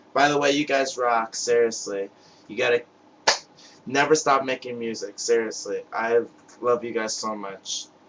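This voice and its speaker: A man's medium-pitched voice in an American accent, fairly even in intonation, at a moderate pace with long, frequent pauses and noticeable background noise. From US Northeast (Brooklyn, New York). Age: 20s. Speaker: music fan vlogger. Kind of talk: webcam video message. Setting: webcam recording. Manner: halting, stuttering.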